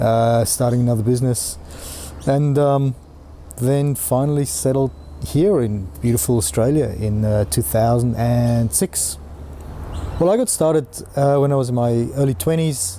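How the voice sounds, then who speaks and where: With a dark, mellow tone at medium pitch, a man speaks at a moderate pace and very even loudness, swinging very widely in pitch and leaving long, frequent pauses. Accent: South African. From South Africa, mining towns. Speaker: entrepreneur. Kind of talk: personal story interview. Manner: hesitant, many fillers.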